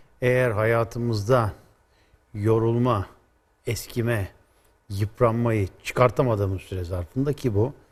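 Somewhat breathy, a man speaks at a very slow pace with fairly even intonation. Long, frequent pauses break up his speech. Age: 60s. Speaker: automotive expert; guest. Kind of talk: explanatory interview. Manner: hesitant with frequent fillers. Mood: calm, explanatory. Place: studio. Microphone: lapel.

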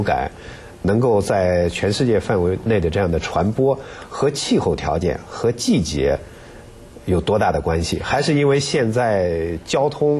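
Using very wide pitch swings, a man speaks at a very slow pace. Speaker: radio health program host. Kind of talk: interview. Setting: studio. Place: studio. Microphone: lapel.

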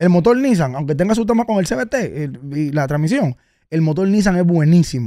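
Against a quiet background and with a dry sound with no echo, a man with a Dominican accent speaks at a high pitch with very wide pitch swings and a dark, mellow tone. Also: moderate pace. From Dominican Republic. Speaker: car content creator and vehicle advisor; podcast guest, car commentator. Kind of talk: casual interview. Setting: radio studio. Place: studio. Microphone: studio mic.

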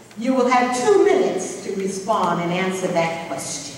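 A woman talks at a moderate pace. Strong room echo and light background noise fill the recording. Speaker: forum moderator. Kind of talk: explaining meeting procedure. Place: hall.

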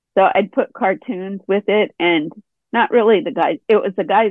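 In a normal speaking voice, a woman talks at a fairly slow pace with lively intonation and a medium pitch. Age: 60s. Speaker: artist. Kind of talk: casual chat. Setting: video call.

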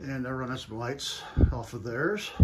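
A man speaks over noticeable background noise. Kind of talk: casual vlog chat. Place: home room. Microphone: phone near.

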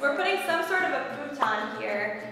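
At a moderate pace, a woman speaks over noticeable background noise with strong room echo. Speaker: vlogger. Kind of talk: casual vlog chat. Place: empty room.

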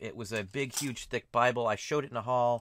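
Speaking in a plain, everyday voice, a man has an American accent and a medium pitch. His fairly quick pace comes through a dry sound with no echo. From Ohio, US Midwest. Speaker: online reseller. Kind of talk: casual vlog talk to camera. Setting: flea market. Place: home room. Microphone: webcam.

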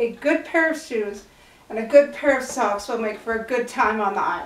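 Strong room echo surrounds a woman who speaks at a moderate pace, her fairly high pitch and fairly bright tone shaped by lively intonation.

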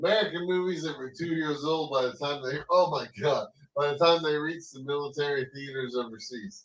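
Hardly pausing, a man talks in an unremarkable speaking voice. His pitch is fairly high and varies in an ordinary way. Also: fairly quick pace. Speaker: podcast co-host. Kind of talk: casual chat. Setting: live stream. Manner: joking.

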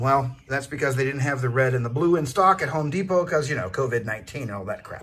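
The man's voice is somewhat breathy. Its pitch moves in an ordinary way. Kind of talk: casual vlog tour. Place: bus. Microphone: phone near.

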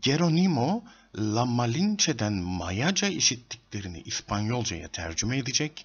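Speaking at a moderate pace, a man with medium pitch and a slightly husky edge makes big pitch swings.

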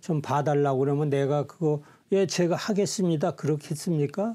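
Against a quiet background, a man with a dark, mellow tone speaks at a fairly slow pace. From South Korea, Siheung (Gyeonggi); Gyeonggi, South Korea. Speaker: volunteer leader and health shop owner; guest. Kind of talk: interview. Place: studio. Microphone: lapel.

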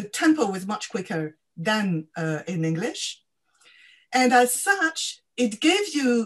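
A woman speaks at a fairly high pitch with very wide pitch swings. Her pace is very slow, and the background is quiet. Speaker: academic co-convener; event host or moderator. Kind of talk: webinar discussion. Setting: video call. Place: home room. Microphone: video call.

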